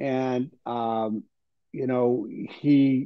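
Dry sound with no echo, a quiet background, and a man speaking. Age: 60s. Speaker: business journalist and columnist; guest journalist. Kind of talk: interview. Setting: video call from home. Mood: relaxed conversational. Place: home room. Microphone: video call.

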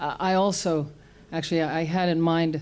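This is a woman's voice. Her pitch sits fairly low. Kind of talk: on-stage song introduction. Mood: wry, reflective. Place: stage.

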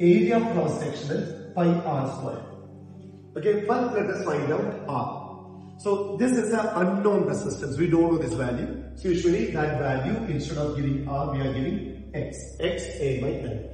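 Against light background noise and strong room echo, a man speaks at a moderate pace. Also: lively intonation. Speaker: physics teacher. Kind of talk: lecture. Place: classroom. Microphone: camera far.

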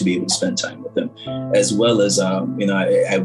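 A man talks fairly quickly while clear music plays behind him. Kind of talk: interview answer. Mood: reflective, earnest. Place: home room. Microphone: phone near.

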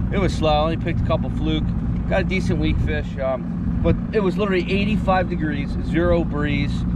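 Loud background noise accompanies a man talking at a moderate pace, the sound dry with no echo. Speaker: fishing vlogger. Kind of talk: casual vlog chat. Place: boat. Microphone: phone near.

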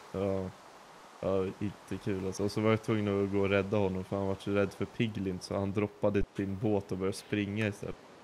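The delivery comes at a fairly quick pace with monotone, flat intonation. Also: man, fairly low pitch for a man. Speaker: fellow Minecraft player. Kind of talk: casual chat. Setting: voice chat while gaming.

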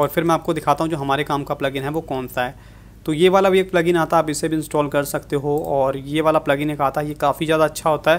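Very fast, monotone, flat speech from a man with a fairly high pitch and hardly any pauses. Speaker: tech youtuber. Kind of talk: tutorial. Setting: home pc setup. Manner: casual, informal. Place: home room.

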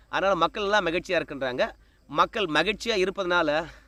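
A man speaks in a high pitch, his tone bright and sharp, with ordinary pitch variation. The sound is dry and close, with no echo. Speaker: political commentary YouTuber. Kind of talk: political commentary monologue.

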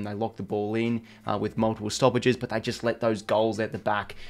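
A man is speaking. He goes at a very fast pace. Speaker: sports commentary vlogger. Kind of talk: commentary. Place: home room.

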